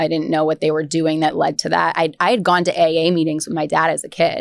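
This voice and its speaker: A woman with an American accent speaks at a very fast pace in a very deep, low pitch with vocal fry and monotone, flat intonation. The recording is very clean, with a silent background. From Albany, New York. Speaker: recovering alcoholic sharing her story. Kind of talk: podcast interview testimony. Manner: hesitant, many fillers and restarts.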